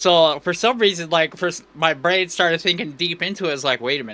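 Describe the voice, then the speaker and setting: A man's high, bright and sharp voice on a very clean recording with a silent background. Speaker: VTuber streamer. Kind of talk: live game stream chat. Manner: animated; loud, sounds like yelling.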